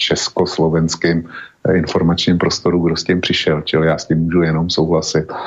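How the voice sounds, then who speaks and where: This man speaks with a very deep, low pitch. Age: old. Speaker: blogger and radio co-host. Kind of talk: talk radio discussion.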